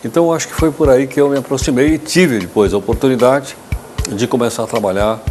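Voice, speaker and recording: Over background music, a man talks at a very fast pace at a medium pitch with ordinary pitch variation. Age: 60s. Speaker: journalist, former history teacher. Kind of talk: interview. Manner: halting, repeats words.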